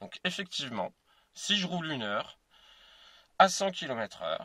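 A man's bright, sharp voice sounds dry with no echo over a quiet background. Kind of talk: casual explanatory vlog. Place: car. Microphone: phone near.

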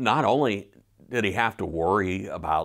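The background stays quiet as a man talks. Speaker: pastor. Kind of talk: sermon. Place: home room. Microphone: lapel.

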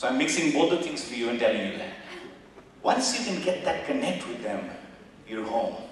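In a room with strong echo and light background noise, a man with a high pitch talks at a fairly quick pace, his pitch swinging very widely between long, frequent pauses. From India. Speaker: business executive and former army officer. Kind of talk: motivational guest talk. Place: hall.

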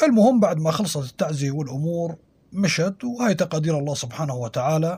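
A man's fairly high, dark and mellow voice in a Syrian accent, with lively intonation at a moderate pace. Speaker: storyteller podcaster. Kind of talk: scripted storytelling narration.

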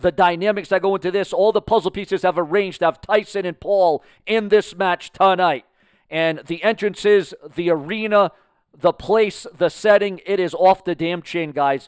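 A man with a high pitch talks against a quiet background in a dry sound with no echo. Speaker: boxing commentator. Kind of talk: live boxing commentary. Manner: excitable, hyped-up play-by-play; rapid, promotional patter. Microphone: headset.

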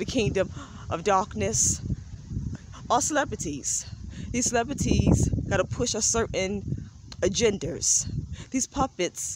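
A woman speaks at a fairly slow pace with long, frequent pauses. Her dry sound has no echo, though loud background noise fills the recording. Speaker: vlogger preaching about spiritual beliefs. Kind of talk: casual vlog monologue, preachy. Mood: earnest, insistent. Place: street. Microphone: phone near.

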